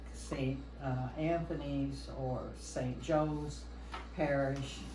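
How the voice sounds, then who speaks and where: Very slow speech over noticeable background noise. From US Midwest, Kansas (Wichita). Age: 80s+. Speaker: longtime parishioner. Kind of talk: oral history interview.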